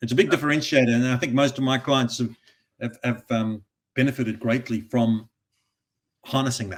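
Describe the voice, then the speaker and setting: At a fairly quick pace, a man talks with long, frequent pauses. His pitch is medium, with ordinary pitch variation. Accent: Australian. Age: 60s. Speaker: recruitment industry advisor and author. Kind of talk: podcast interview.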